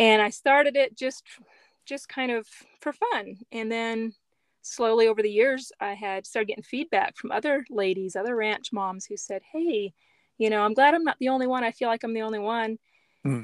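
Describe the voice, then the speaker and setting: Using a plain, everyday voice, a woman speaks with an American accent at a fairly high pitch. Her pace is moderate, her pitch variation ordinary, and the sound dry and close with no echo. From US, Mennonite community. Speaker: writer and photographer. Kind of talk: interview.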